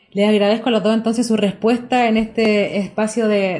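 Her tone dark and mellow, a woman speaks at a fairly quick pace in a fairly high pitch. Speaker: radio host and church journalist. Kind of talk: radio interview.

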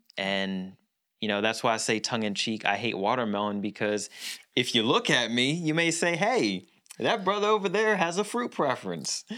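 With an American accent, the speaker uses a bright, sharp, animated tone, very wide pitch swings and a moderate pace in a very clean recording with a silent background. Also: man, medium pitch for a man. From Philadelphia area, US. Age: 40s. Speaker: podcast co-host. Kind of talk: casual chat.

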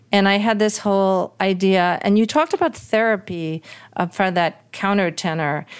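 An American accent marks this woman's normal speaking voice, delivered at a moderate pace with very even loudness on a very clean recording with a silent background. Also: medium pitch for a woman, ordinary pitch variation. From New York City. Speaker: singer, composer and author. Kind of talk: interview.

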